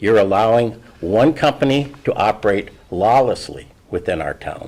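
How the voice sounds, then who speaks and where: The voice has an Upper Midwest accent and ordinary pitch variation. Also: man. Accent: Upper Midwest (Minnesota). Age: 70s. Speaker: local resident speaking at public meeting. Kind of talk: public comment at county board meeting.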